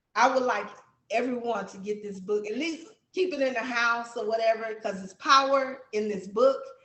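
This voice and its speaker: With an American accent and big swings in loudness, a woman speaks at a fairly high pitch in a room with audible echo. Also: ordinary pitch variation, moderate pace. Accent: country accent, strong. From Texas. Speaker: book author. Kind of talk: interview.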